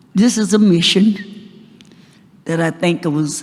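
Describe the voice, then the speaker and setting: Noticeable background noise sits under the recording. A woman talks with ordinary pitch variation. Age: 90. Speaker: civil rights leader. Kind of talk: acceptance speech.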